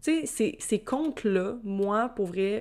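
In a very clean recording with a silent background, a woman speaks in a fairly high voice with a Quebec accent. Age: 20s. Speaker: podcast host. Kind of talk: casual solo monologue.

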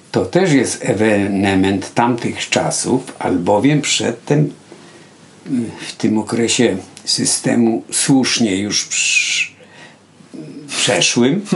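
Noticeable background noise sits under a man's very slow speech with long, frequent pauses. His pitch is medium and his intonation lively. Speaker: painter. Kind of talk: casual chat. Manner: halting.

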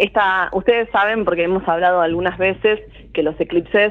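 Her pitch is fairly low for a woman. She shows ordinary pitch variation. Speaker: astrologer. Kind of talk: casual radio interview.

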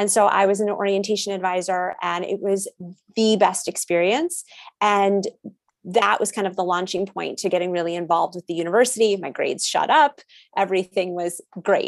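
A woman's unremarkable speaking voice with an American accent, medium in pitch, with fairly even intonation and a fairly quick pace. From US Northeast, Connecticut. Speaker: college transition advisor. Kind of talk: interview.

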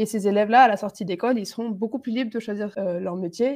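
A woman at medium pitch and a fairly quick pace, over a quiet background. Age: 20s. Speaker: engineering student. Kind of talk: interview. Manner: hesitant, many fillers.

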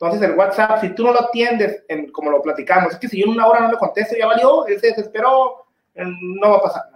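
Very fast speech from a man with a high pitch, ordinary pitch variation and big swings in loudness. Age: 40s. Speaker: motorcycle dealership manager. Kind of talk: casual interview. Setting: live stream.

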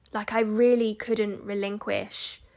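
In a very clean recording with a silent background, a woman with an ordinary speaking voice talks at a fairly slow pace. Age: 30s. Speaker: podcast host, self-development coach. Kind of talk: solo podcast monologue. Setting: recording at home.

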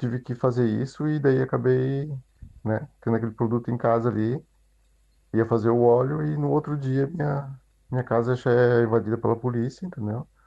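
This man has a plain, everyday voice pitched in the mid range. He talks at an average speed with the usual rise and fall in pitch. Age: 40s. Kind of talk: recorded testimony.

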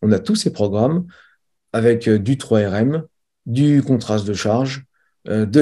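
A dark, mellow tone with ordinary pitch variation and a moderate pace, over a quiet background. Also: man. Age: 40s. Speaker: strength and conditioning coach. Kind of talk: interview.

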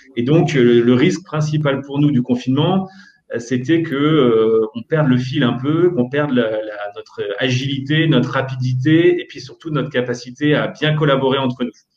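At a moderate pace, a man with a normal speaking voice and a fairly high pitch speaks with ordinary pitch variation. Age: 30s. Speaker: startup co-founder and CEO. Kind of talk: interview.

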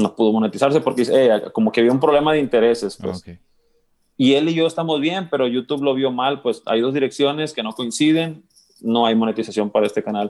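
This man has an ordinary speaking voice at medium pitch, moving at a fairly quick pace with ordinary pitch variation. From Mexico, Sinaloa (Guamúchil). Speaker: musician. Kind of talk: casual interview chat.

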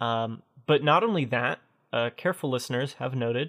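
A normal speaking voice at a moderate pace. The pitch varies in an ordinary way. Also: man. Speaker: podcast host. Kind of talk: casual chat. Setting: video call.

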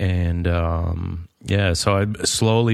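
A man at a very deep, low pitch against a quiet background. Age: 30s. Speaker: carpenter and hiker. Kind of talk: casual chat.

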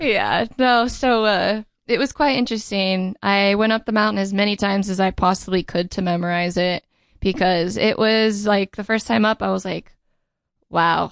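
Against a quiet background, a woman speaks at a moderate pace with medium pitch and fairly even intonation. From Southern California, Riverside. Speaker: racing driver and stunt driver. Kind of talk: casual interview chat.

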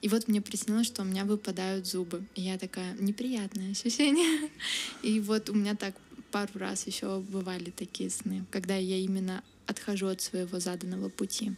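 Using an ordinary speaking voice, a woman speaks at medium pitch and a moderate pace with fairly even intonation. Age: 20s. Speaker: university student. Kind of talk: interview. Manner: casual, many fillers.

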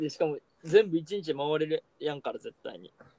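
A man with an ordinary speaking voice talks at a moderate pace and a fairly high pitch, his intonation lively. The sound is dry and close, with no echo. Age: 20s. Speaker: podcast co-host. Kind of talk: casual chat.

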